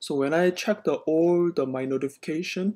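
The speech moves at a fairly slow pace. The background is quiet. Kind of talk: casual explanatory commentary. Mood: concerned. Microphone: phone near.

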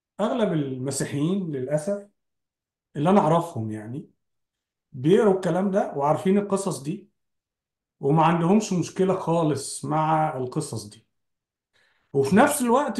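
The speech moves at a fairly slow pace. Room echo is audible against a quiet background. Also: man. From Egypt. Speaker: podcast host. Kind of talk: casual religious discussion. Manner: halting, frequent repetitions. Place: home room. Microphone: video call.

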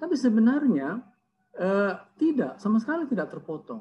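A man speaks with very wide swings in pitch. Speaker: seminary lecturer. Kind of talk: academic commentary. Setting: video call. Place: home room. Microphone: earbuds.

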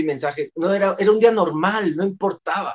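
Animated in tone, a man speaks with ordinary pitch variation. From Mexico City. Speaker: motivational speaker. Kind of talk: casual interview chat. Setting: video call. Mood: cheerful, joking. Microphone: video call.

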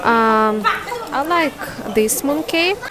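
Crowd noise fills the background as a woman speaks in a dry sound with no echo. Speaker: vlogger. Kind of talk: casual vlog chat. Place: shop. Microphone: earbuds.

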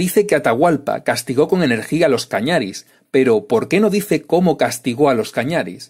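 Using an ordinary speaking voice, a man talks at a moderate pace with lively intonation. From Extremadura, Spain. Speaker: YouTube history commentator. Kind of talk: scripted narration.

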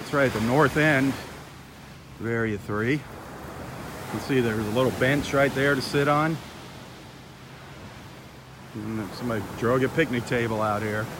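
The dry sound has no echo, and background noise is noticeable. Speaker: beach walk host. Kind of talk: casual vlog chat. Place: beach. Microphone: phone near.

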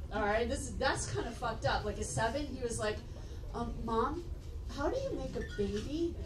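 A woman at a moderate pace, with noticeable background noise. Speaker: stand-up comedian. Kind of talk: stand-up comedy routine.

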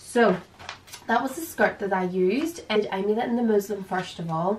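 With an Irish accent, a woman talks at a moderate pace and a medium pitch. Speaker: dressmaker and designer. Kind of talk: casual sewing tutorial to camera.

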